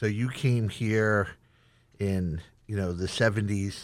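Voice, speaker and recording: Recorded very cleanly against a silent background, a man talks in a fairly low pitch with ordinary pitch variation. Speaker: chef and culinary instructor. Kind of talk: interview. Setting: studio.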